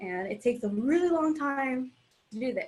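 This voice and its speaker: Somewhat breathy, the woman's voice moves at a moderate pace. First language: Spanish. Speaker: artist. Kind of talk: casual chat.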